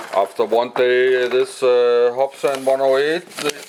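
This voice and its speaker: With a Danish accent, a man talks at a very slow pace with ordinary pitch variation. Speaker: hobbyist vlogger. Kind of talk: casual video blog. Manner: halting, many filler sounds.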